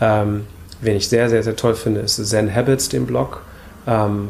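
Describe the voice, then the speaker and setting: A man talks fairly slowly at a medium pitch with noticeable background noise around him. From Hamburg, northern Germany. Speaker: minimalism blogger and YouTuber. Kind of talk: casual interview conversation. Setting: coworking space, seated on wood shavings.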